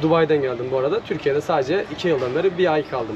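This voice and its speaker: Against noticeable background noise, a man talks fairly quickly at a fairly high pitch with ordinary pitch variation. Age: 20s. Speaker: ice cream vendor. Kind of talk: casual street interview. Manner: hesitant, many filler sounds.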